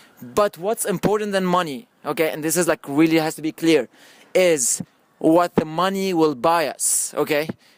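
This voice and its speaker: Dry and close with no echo, the speech carries a non-native accent, a moderate pace and ordinary pitch variation. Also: man. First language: not English. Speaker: filmmaker pitching a film project. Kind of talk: group discussion pitch. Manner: halting, repeats words; animated.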